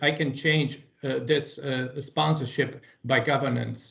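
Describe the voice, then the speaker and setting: The man's delivery is monotone, with flat intonation. He speaks with a non-native accent. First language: not English. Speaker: meeting presenter. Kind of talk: work meeting discussion. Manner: halting, many fillers.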